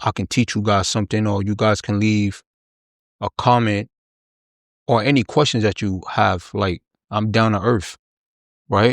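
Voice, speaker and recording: With a dry, close sound and no echo, a man speaks fairly slowly at a fairly low pitch, his intonation fairly even and broken by long, frequent pauses. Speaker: podcast host. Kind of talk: casual chat. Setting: home studio. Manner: voice goes in and out.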